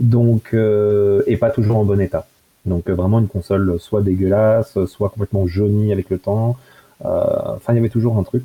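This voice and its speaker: With a dry, close sound with no echo, a man talks at a moderate pace and a fairly low pitch, with monotone, flat intonation and very even loudness. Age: 20s. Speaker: computer hobbyist. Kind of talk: casual chat. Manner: halting.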